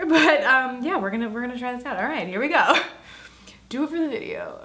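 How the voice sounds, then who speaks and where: An animated tone carries speech at a fairly quick pace, with audible room echo and noticeable background noise. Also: woman. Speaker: beauty YouTuber. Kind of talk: makeup tutorial vlog.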